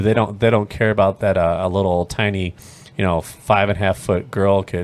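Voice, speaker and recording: A man's voice, fairly low in pitch. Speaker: podcast co-host. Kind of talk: casual chat. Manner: fast.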